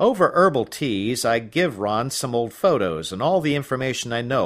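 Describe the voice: The speaker is plainly reading aloud with lively intonation.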